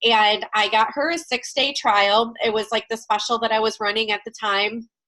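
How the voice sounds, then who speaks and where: The speech moves at a moderate pace. The voice is loud. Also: woman. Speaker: network marketing team leader. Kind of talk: team training call. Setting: video call. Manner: loud and chatty.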